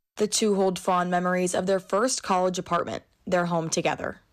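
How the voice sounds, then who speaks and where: In an ordinary speaking voice of medium pitch, a woman talks at a fairly quick pace with very even loudness and fairly even intonation against a quiet background. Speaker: news reporter. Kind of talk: news feature voiceover.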